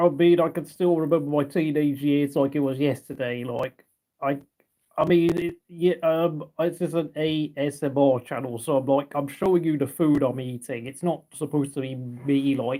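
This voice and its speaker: A man speaks with a British accent. His tone is dark and mellow, and his intonation is fairly even. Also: fairly high pitch for a man, moderate pace. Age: 30s. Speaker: ASMR livestreamer. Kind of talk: casual livestream chat. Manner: halting.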